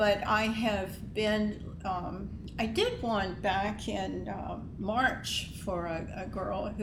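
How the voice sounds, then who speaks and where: A woman with an American accent talks at a very slow pace with hardly any pauses, against noticeable background noise. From Luray, Virginia. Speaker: local resident guest. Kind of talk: casual interview storytelling. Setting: in-person at college campus.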